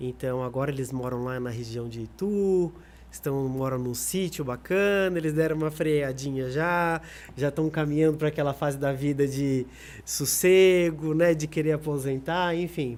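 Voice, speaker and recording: A man speaks at a moderate pace in an ordinary speaking voice, with a fairly high pitch and ordinary pitch variation. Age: 30s. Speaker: singer. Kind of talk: podcast interview.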